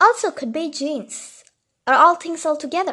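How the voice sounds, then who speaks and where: Using ordinary pitch variation, a woman talks with a non-native accent. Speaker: mental health video host. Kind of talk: casual talk to camera.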